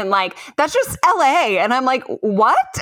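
A woman's bright, sharp tone with an American accent. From Chicago, US Midwest. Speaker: stand-up comedian and host. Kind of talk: casual chat.

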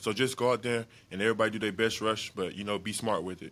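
A man's fairly low voice in a flat monotone, very fast, on a very clean recording with a silent background. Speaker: football player. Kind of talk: interview. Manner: casual.

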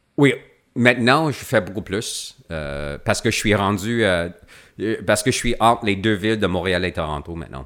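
A man with an English accent talks at a moderate pace in a fairly low voice, his intonation lively. The recording is very clean, with a silent background. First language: English (speaking French). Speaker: actor. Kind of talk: casual chat. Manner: halting, many repetitions.

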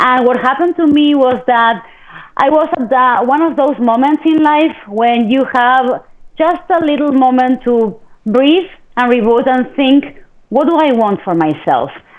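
With a Spanish accent, a woman with a high pitch speaks at a fairly slow pace, using ordinary pitch variation and very even loudness. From Argentina. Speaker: TV host and media entrepreneur. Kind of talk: interview. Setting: live video webcast.

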